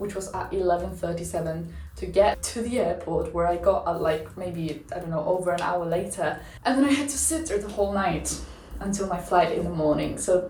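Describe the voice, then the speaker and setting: Room echo is audible, along with noticeable background noise. A woman does the talking. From outside the UK. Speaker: YouTuber, former university student. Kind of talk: casual vlog review. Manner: casual, filler-heavy.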